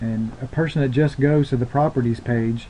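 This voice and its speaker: With fairly even intonation, a man speaks at medium pitch in an ordinary speaking voice. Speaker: company trainer and tech support. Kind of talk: screen-share tutorial.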